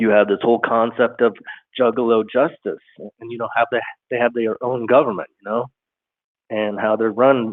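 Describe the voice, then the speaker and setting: This man's voice sits at a medium pitch, his intonation monotone and flat. He keeps a moderate pace. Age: 50s. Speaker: caller. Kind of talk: call-in conversation. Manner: halting, many fillers.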